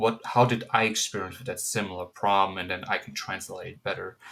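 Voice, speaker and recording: In a German accent, a man speaks at a fairly quick pace. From Germany. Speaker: counseling student. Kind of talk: class presentation. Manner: casual, hesitant with fillers.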